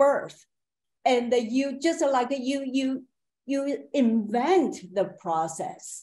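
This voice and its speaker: A woman's high, dark, mellow voice in a Chinese accent, at a very slow pace and with lively intonation. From China. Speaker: painter; panelist. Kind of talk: panel discussion. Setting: video call. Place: home room. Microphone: video call.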